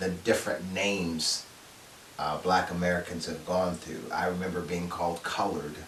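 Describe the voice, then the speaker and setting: Over noticeable background noise, a man speaks at a moderate pace in a very deep, low pitch with flat, monotone intonation. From United States. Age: 60s. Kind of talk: casual talk to camera. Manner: hesitant, conversational.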